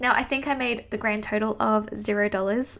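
A woman with an Australian accent talks at a moderate pace. Her pitch is fairly high and her intonation fairly even. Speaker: podcast host and business coach. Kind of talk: solo podcast monologue, personal story.

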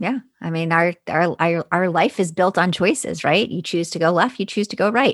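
A woman with an ordinary speaking voice talks at a moderate pace, her pitch fairly low with ordinary variation. The sound is dry and close, with no echo. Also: quiet background. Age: 40s. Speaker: foster and adoptive parent. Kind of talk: casual chat.

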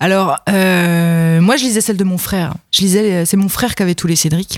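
Fairly slow delivery with ordinary pitch variation and a slight Franche-Comté accent. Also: woman. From Franche-Comté, France. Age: 30s. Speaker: comic book author and illustrator. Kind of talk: casual chat.

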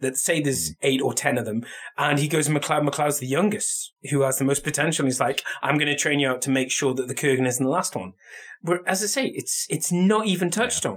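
A man talks at a fairly quick pace in a fairly high, somewhat breathy voice. His pitch moves in an ordinary way. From Scotland.

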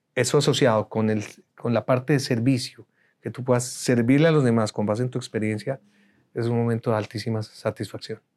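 Over a very clean recording with a silent background, a man with an unremarkable speaking voice and medium pitch talks at a fairly quick pace with fairly even intonation. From Colombia. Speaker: speaker coach and TV producer. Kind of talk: interview. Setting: studio.

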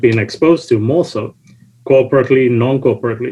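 A somewhat breathy voice at a fairly quick pace, with ordinary pitch variation. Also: man. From UK, born in UK. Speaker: panelist, logistics professional and documentary co-producer. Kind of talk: panel discussion.

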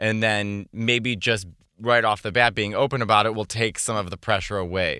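Bright and sharp in tone, the voice carries an American accent at a moderate pace. The recording is very clean, with a silent background. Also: man, fairly low pitch for a man. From Chicago. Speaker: stand-up comedian and former illustrator. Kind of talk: casual chat.

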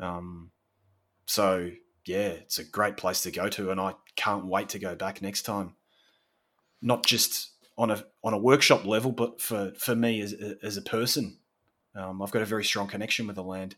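In a very clean recording with a silent background, a man with an Australian accent speaks at a moderate pace and a fairly low pitch, his tone bright and sharp, his intonation fairly even, with long, frequent pauses. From Australia, Victoria (Sorrento, near Melbourne). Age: 40s. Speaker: landscape photographer. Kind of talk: interview conversation.

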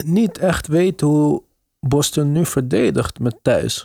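The man's pitch is fairly high and his pace is very slow. The sound is dry and close, with no echo. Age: middle-aged. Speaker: basketball podcast host. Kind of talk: casual chat.

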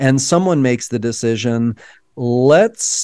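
A man with an American accent, an unremarkable speaking voice, lively intonation and a moderate pace, dry and close with no echo. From Texas, Dallas. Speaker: documentary director. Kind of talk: interview.

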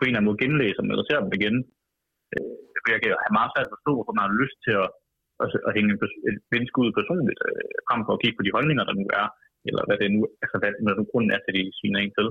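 A man speaks at a very fast pace with very even loudness and long, frequent pauses. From Denmark, Vejle. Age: 20s. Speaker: political activist and columnist. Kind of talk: radio interview. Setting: phone call.

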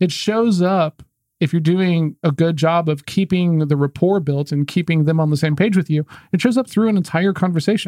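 A man talks with an American accent. His voice is high-pitched with a dark, mellow tone. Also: ordinary pitch variation, very even loudness, dry, close sound with no echo. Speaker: sales podcast host. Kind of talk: casual chat. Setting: video podcast. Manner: fast talker.

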